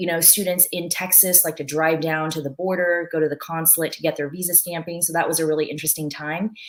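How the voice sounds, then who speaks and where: Against noticeable background noise, a woman talks fairly quickly at a fairly low pitch with fairly even intonation. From born in China, moved to US as a child. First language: Mandarin Chinese. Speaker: former visa officer. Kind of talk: webinar talk.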